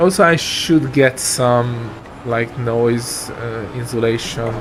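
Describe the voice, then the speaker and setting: There is noticeable background noise. Through it comes a man's voice at a medium pitch. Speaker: sim racing streamer. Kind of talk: live stream commentary.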